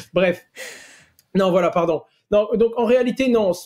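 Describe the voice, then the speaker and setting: This is a man's voice. His pitch is high. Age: 20s. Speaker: entrepreneur and youtuber. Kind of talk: podcast interview.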